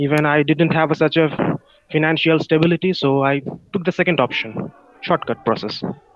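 This man has a Bengali accent and talks at a fairly quick pace. The recording is dry, without any echo. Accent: Bengali Indian. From India, West Bengal (Kolkata). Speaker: internal auditor, participant in English practice call. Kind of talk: casual conversation practice. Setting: video call. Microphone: video call.

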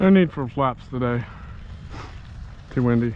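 A man with a medium pitch talks at a fairly slow pace with lively intonation.

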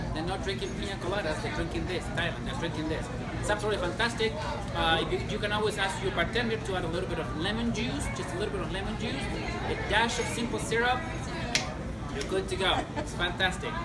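Over loud background noise, this man's speech moves at a very fast pace. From Chile. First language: Spanish. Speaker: sommelier. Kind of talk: cocktail-making tutorial. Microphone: lapel.

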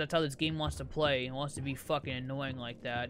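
A man speaks with music in the background. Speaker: gaming YouTuber. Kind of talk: let's play commentary. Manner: laid back; animated.

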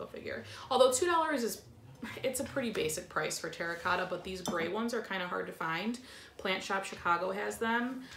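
Against noticeable background noise, a woman speaks at a fairly quick pace. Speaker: plant vlogger. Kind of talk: casual haul vlog chat. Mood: cheerful, excited. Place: home room. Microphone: camera far.

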